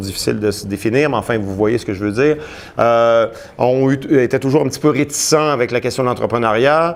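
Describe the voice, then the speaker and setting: A man's medium-pitched voice moves at a moderate pace with ordinary pitch variation. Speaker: sociology professor giving a talk. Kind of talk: lecture. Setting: conference room with live audience. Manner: hesitant, many fillers and repetitions.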